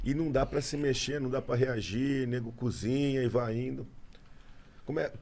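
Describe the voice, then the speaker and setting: At a moderate pace, a man speaks in a flat monotone. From Brazil. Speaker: police officer and online video creator; online video creator. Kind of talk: casual chat. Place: studio. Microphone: studio mic.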